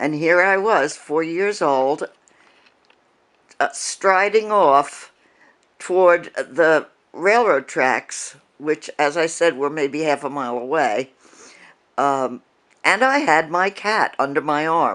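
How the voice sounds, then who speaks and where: The voice has an American accent and moves at a very slow pace. Long, frequent pauses break it up against a quiet background. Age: 70s. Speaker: storyteller. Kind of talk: personal storytelling. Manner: halting, many fillers.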